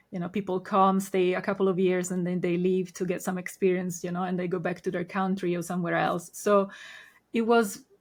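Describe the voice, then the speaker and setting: A woman with an Italian accent, her monotone, flat intonation at a fairly quick pace, in a very clean recording with a silent background. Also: medium pitch for a woman. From Italy. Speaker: Reiki master. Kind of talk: podcast interview.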